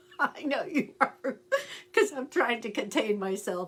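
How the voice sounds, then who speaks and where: The woman speaks at a moderate pace. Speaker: astrologer and tarot reader. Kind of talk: casual livestream chat. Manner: animated.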